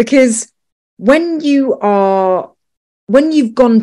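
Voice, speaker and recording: Very slowly, a woman speaks. Her voice has a dark, mellow tone. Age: 40s. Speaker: podcast host. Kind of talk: interview.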